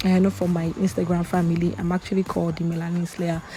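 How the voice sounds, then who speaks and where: Here a woman speaks at a medium pitch. Noticeable background noise runs behind her. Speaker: makeup artist. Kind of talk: tutorial. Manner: fast; chatty.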